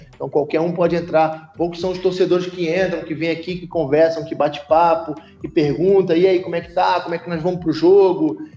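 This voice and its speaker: Talking at a fairly quick pace with hardly any pauses, a man with a high pitch keeps a monotone, flat intonation amid noticeable background noise. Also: big swings in loudness. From Brazil, Rio de Janeiro. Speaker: football club president. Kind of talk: podcast interview. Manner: halting, many fillers and repetitions.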